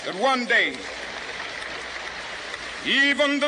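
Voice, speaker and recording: Through noticeable background noise, a man projects a raised voice at an extremely high pitch with ordinary pitch variation. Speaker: civil rights leader. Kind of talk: public speech to a rally crowd. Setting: outdoors, public address. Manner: rhythmic, impassioned oratory.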